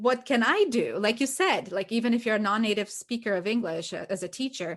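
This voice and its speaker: In a Portuguese accent, a woman speaks at a fairly quick pace with lively intonation. Her pitch is fairly high, and the background is quiet. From Brazil. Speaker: ESL teacher and podcast co-host. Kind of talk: casual chat.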